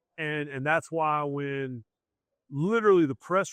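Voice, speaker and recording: A man's fairly high voice with a Southern accent and ordinary pitch variation, dry and close with no echo. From US South. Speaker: sports journalist. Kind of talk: podcast interview. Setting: live event. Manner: animated.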